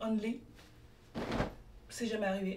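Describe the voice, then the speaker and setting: Audible room echo follows a woman as she talks at a moderate pace. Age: 20s. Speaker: lifestyle vlogger and student. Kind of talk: casual vlog narration. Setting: on the move in New York.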